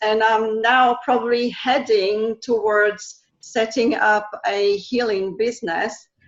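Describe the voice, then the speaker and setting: In a French accent, a woman speaks with a fairly high pitch. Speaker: energy healing practitioner and language teacher. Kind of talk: interview. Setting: live video call. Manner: halting, many fillers.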